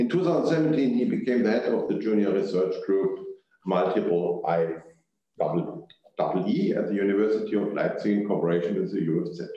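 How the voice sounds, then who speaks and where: The pace is fairly quick. Room echo is audible throughout. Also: man. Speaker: panel moderator. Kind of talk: speaker introductions. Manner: halting.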